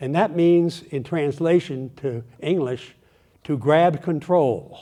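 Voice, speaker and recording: Fairly high male voice with an American accent, a dark, mellow tone and lively intonation. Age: 80s+. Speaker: retired lawyer and engineer, guest speaker. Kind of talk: talk to a local audience. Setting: speaker event with audience.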